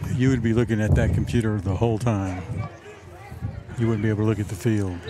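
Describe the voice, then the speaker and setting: Over noticeable background noise, a man with a fairly low pitch talks at a very fast pace, his intonation fairly even. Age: 60s. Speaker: color commentator. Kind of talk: live football commentary.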